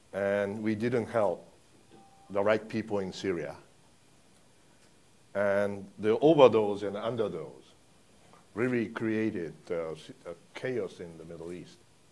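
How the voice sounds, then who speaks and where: A man speaks with a Japanese accent and a fairly low pitch. He leaves long, frequent pauses. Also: ordinary pitch variation. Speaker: foreign policy analyst. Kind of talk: panel discussion. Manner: halting.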